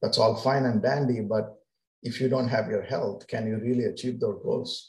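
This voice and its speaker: A man speaks at a moderate pace in a medium-pitched, somewhat breathy voice with fairly even intonation. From India. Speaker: physician. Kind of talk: interview.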